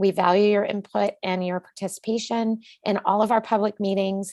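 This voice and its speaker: Medium-pitched woman at a moderate pace, dry and close with no echo, over a quiet background. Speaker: committee chair presenting at public hearing. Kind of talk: public hearing presentation. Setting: public meeting. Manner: hesitant, many fillers.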